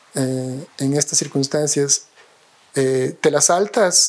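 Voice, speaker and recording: A man with a fairly high pitch talks in fairly even intonation while noticeable background noise plays. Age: 40s. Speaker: architect and professor. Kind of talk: interview conversation. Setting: at his home. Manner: hesitant, many fillers and repetitions.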